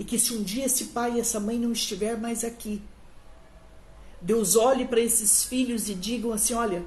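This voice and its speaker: A woman's fairly high voice carries audible room echo. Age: 60s. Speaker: pastor. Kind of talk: sermon. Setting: livestream on social media.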